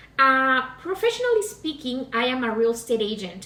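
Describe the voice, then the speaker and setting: A woman with a Mexican accent at a fairly slow pace, with audible room echo and noticeable background noise. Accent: Latin (Mexican Spanish). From Mexico, Pacific coast, Guerrero. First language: Spanish. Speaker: cooking demonstrator, real estate agent. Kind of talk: cooking demonstration. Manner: hesitant, many fillers.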